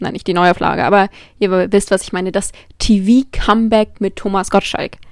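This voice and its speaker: Moderately paced female speech, very clean recording, silent background. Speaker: podcast host. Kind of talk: solo monologue. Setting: alone in her room. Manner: affected-sounding.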